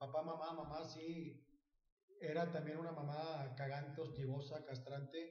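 A man with a fairly high pitch speaks at a fairly slow pace in a monotone, flat delivery, with audible room echo. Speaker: comedian. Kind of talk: casual chat.

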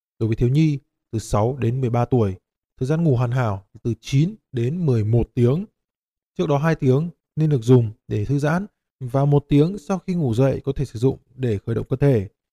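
A man's somewhat breathy, dark and mellow voice with lively intonation. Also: medium pitch for a man, moderate pace, dry, close sound with no echo. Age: 30s. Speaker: podcast host. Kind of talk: scripted narration.

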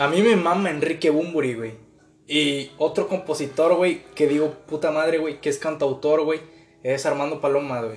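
Speaking in a normal speaking voice, a man keeps a moderate pace, a fairly high pitch and ordinary pitch variation. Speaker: podcast co-host. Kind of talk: casual chat.

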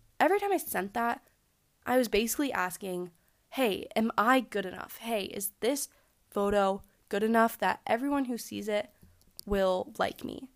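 A woman speaks at a fairly high pitch and moderate pace, animated, with ordinary pitch variation. Long, frequent pauses break up her speech on a very clean recording with a silent background. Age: 20s. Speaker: podcast host. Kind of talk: casual monologue.

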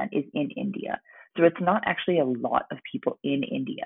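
With an American accent and an unremarkable speaking voice, a woman speaks at a fairly slow pace with a fairly low pitch. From United States. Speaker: podcaster. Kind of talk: interview.

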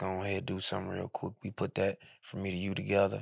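A man's fairly low, fairly quick voice with vocal fry, dry and close with no echo, on a very clean recording with a silent background. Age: 30s. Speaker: rapper. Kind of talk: casual chat.

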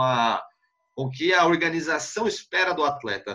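A man speaks with a regional Brazilian accent and a bright, sharp tone. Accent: noticeable regional Brazilian. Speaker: sports journalist. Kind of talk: casual interview chat. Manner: halting, repeats words.

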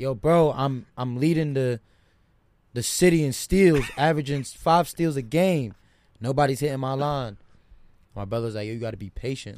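A man speaks in an unremarkable speaking voice at a medium pitch. He keeps a moderate pace. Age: 20s. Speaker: college basketball player. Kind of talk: casual chat.

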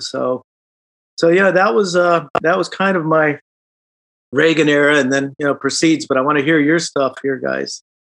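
Speaking fairly quickly in a Midwestern accent, a man with a fairly high pitch keeps his intonation fairly even, the sound dry and close with no echo. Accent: American Midwest. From Chicago. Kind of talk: casual chat.

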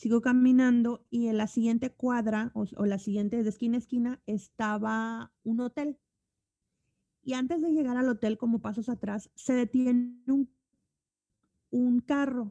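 A woman's high-pitched voice, dark and mellow in tone, with fairly even intonation at a fairly slow pace, in a dry, close sound with no echo. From Mexico. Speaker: communication coach and musician. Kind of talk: casual interview chat.

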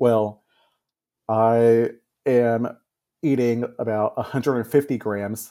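A man with an American accent speaks very slowly at medium pitch, his tone dark and mellow and his intonation fairly even. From Texas. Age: 30s. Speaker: music teacher. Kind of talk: personal story in interview. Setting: remote call.

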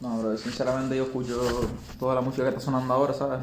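Talking at a very fast pace, a man with a medium pitch is heard over noticeable background noise and audible room echo. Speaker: rapper. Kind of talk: casual interview.

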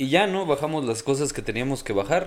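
Medium pitch and a fairly quick pace from a man, a plain, everyday voice with ordinary pitch variation. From Hidalgo, Mexico. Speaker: podcast guest telling ghost stories. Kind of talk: casual chat.

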